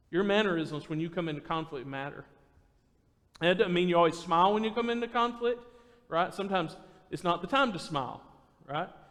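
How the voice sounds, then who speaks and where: Loud and very fast, a man speaks in a high pitch with ordinary pitch variation and long, frequent pauses. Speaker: preacher. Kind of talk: sermon. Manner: naturally loud.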